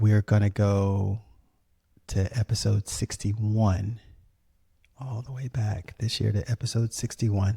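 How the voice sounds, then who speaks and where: With an American accent, a man speaks at a fairly low pitch in a dark, mellow, somewhat breathy tone, with fairly even intonation. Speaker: podcast host. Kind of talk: casual podcast narration. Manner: many fillers and restarts.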